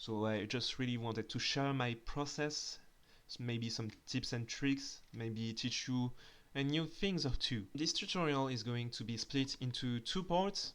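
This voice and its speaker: Speaking with a strong French accent, a man keeps a medium pitch. His pace is fairly slow. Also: ordinary pitch variation, very clean recording, silent background. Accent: thick French. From France. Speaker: 3D artist and tutorial creator. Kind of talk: tutorial. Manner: hesitant, with filler sounds.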